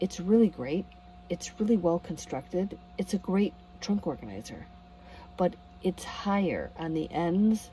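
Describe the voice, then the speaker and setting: A woman with an American accent speaks quietly at a fairly slow pace, leaving long, frequent pauses. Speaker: van camping vlogger. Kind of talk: casual vlog. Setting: inside a van at a campground at night. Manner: quiet, low volume.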